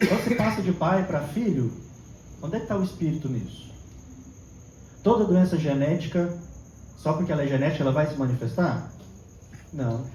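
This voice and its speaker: A man at a moderate pace with lively intonation and audible room echo. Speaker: therapist and spiritist lecturer. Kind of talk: lecture.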